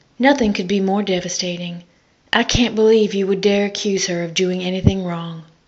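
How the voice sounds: A natural reading voice carries the text. Its intonation is fairly even.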